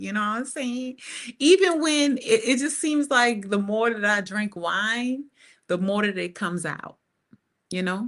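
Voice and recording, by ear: Fairly high in pitch, this woman speaks with a fairly bright tone and ordinary pitch variation.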